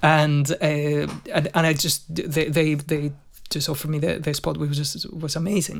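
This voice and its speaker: In a fairly high, somewhat breathy voice, a man speaks at a moderate pace in a flat monotone. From Spain, Madrid. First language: Spanish. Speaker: session guitarist. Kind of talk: casual chat.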